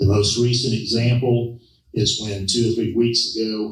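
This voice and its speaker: A man with an American accent and monotone, flat intonation. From US South, Savannah, Georgia. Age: 70s. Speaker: political candidate. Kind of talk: campaign speech. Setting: public forum with audience. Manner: forceful.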